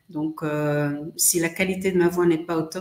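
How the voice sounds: Low for a woman, her voice has a slightly mellow tone and fairly even intonation, with audible room echo in the space.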